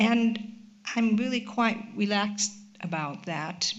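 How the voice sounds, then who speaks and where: A woman with an American accent speaks at a fairly slow pace and medium pitch. Audible room echo surrounds her voice. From United States. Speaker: charity director. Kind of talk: panel discussion. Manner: halting.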